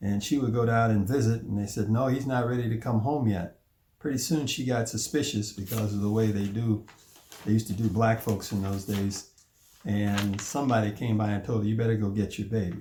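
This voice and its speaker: A man's fairly low, dark and mellow voice with an American accent, somewhat breathy, at a fairly quick pace with fairly even intonation. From US Midwest, Chicago. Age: 70s. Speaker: family elder telling his life story. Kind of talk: oral history narration.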